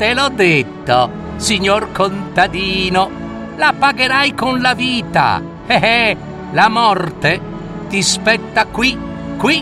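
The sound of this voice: In a put-on character voice, a man speaks slowly at a high pitch with big pitch swings. Clear music plays in the background. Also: few pauses.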